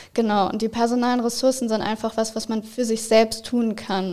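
Her pitch fairly high and her intonation monotone and flat, a woman speaks at a moderate pace. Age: 20s. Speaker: psychology student. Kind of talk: interview.

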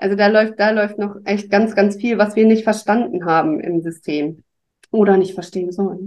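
A woman uses an ordinary speaking voice at medium pitch, moving at a moderate pace with ordinary pitch variation. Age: 40s. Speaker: podcast guest. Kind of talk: casual chat.

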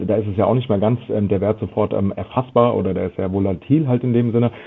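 A man with an unremarkable speaking voice and a fairly low pitch talks at a fairly quick pace with fairly even intonation. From Germany, Frankfurt am Main. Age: 40s. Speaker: loyalty marketing consultant. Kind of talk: interview.

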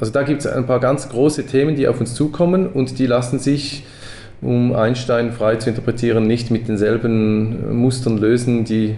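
Using fairly even intonation, a man speaks in a medium pitch at a moderate pace. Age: 40s. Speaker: education co-founder. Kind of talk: casual interview. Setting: in person at office. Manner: halting, many fillers.

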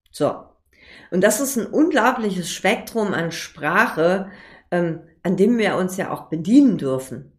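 A woman's medium-pitched voice with lively intonation, broken by long, frequent pauses. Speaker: podcast host, copywriter. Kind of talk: solo podcast tutorial. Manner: fast, talks without pause; casual, many filler sounds.

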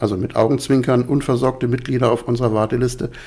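A man talks at a very fast pace and medium pitch, with ordinary pitch variation. Background noise is noticeable. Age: 50s. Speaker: resident of a co-housing project. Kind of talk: interview. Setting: at home, living room.

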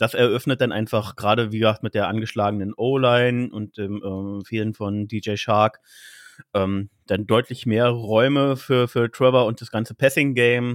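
A man with an ordinary speaking voice at medium pitch, moderate in pace, fairly even in intonation. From Berlin, Germany. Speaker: trainee care worker and fan podcaster. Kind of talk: casual chat.

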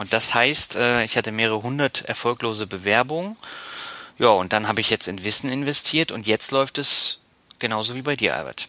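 This man has an unremarkable speaking voice, medium in pitch with ordinary pitch variation, delivered at a moderate pace. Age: 30s. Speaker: podcast host, marketing professional. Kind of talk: casual chat.

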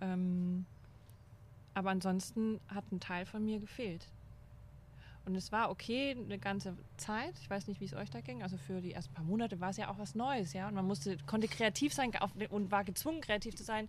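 A woman talks at a medium pitch and moderate pace, somewhat breathy, with lively intonation. She leaves long, frequent pauses. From Upper Franconia, near Bayreuth. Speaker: former astronaut trainer, speaker. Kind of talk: casual chat.

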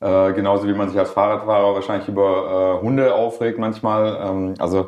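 Over a quiet background, a man talks at a fairly low pitch with monotone, flat intonation. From Swabia, Germany (Schorndorf near Stuttgart). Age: 40s. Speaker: rapper. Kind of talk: casual interview. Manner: hesitant, many fillers.

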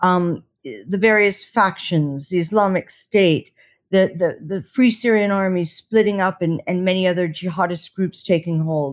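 A woman's normal speaking voice at medium pitch, fairly slow, with ordinary pitch variation, on a very clean recording over a silent background. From United States. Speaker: war correspondent. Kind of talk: interview.

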